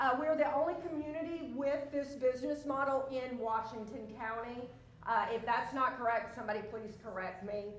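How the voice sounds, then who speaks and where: A woman's high-pitched voice with ordinary pitch variation, a moderate pace and audible room echo. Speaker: senior living community representative. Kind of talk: conference presentation.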